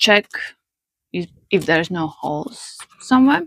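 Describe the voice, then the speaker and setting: A woman speaks with a non-native accent at a fairly slow pace. Her intonation is lively. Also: dry, close sound with no echo. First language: not English. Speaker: paper flower maker. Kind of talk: craft tutorial.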